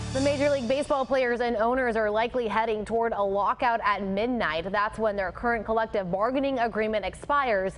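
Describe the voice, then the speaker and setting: Music plays in the background as a woman with an American accent speaks at a very fast pace. Her fairly high voice shows ordinary pitch variation and very even loudness. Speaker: TV news anchor and reporter. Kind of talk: TV news anchor and field reporter delivery.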